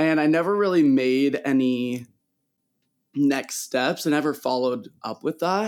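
Over a very clean recording with a silent background, a man with a plain, everyday voice speaks at a fairly slow pace, his fairly high pitch carried by lively intonation. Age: 20s. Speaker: photographer. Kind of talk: casual interview.

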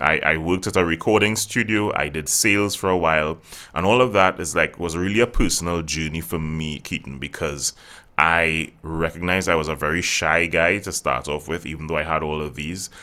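In a Trinidadian accent, a man speaks at a fairly quick pace with a very deep, low pitch. His tone is bright and sharp, and his pitch varies in an ordinary way. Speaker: voice coach and voiceover artist. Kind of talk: casual interview chat.

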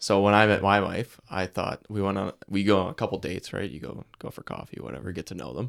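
A man with a fairly low pitch and vocal fry talks at a very fast pace with hardly any pauses, lively intonation and big swings in loudness. The recording is very clean, with a silent background. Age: 20s. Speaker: podcast host. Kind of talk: interview. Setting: studio.

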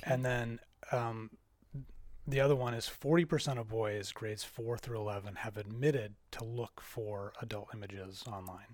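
An ordinary speaking voice goes at a moderate pace with ordinary pitch variation on a very clean recording with a silent background. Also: man, medium pitch for a man. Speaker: tech expert. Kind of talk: casual chat.

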